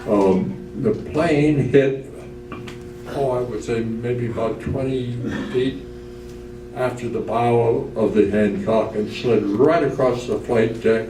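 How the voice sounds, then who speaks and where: A man's medium-pitched voice at a very slow pace, with ordinary pitch variation and noticeable background noise. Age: 80s+. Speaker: retired Navy commander, World War Two veteran. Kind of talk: guest speaker talk about war memories. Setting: nursing home event.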